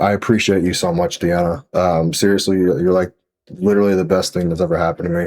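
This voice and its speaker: A man's very deep, low voice with ordinary pitch variation, music playing in the background. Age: 20s. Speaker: gaming commentator. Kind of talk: casual gameplay commentary. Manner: halting, with repetitions.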